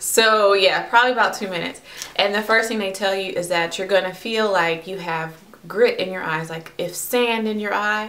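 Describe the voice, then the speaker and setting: There is audible room echo as a woman speaks at a moderate pace with fairly even intonation. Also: medium pitch for a woman. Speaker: vlogger. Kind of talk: personal vlog.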